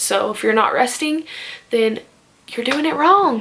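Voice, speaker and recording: Through noticeable background noise, a woman speaks at a moderate pace with ordinary pitch variation. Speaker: fitness vlogger. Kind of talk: casual tutorial.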